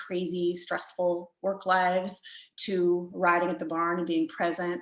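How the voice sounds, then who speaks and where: Audible room echo surrounds a woman's fairly low-pitched voice, delivered in monotone, flat intonation. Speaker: riding coach. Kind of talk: lecture. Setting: video call.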